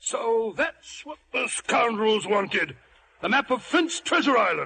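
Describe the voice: Using a put-on character voice, a man speaks at an extremely high pitch with vocal fry, a bright, sharp tone, big pitch swings and a slow pace.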